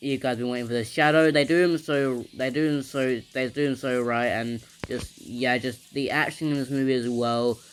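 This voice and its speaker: Music plays in the background as a man speaks with a medium pitch and fairly even intonation. His pace is moderate, with hardly any pauses. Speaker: movie reviewer. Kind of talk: unscripted casual review. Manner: stuttering, halting.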